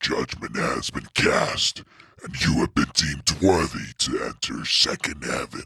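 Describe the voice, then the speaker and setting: A booming, put-on character voice. It moves at a fairly slow pace. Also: man. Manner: commanding, thunderous.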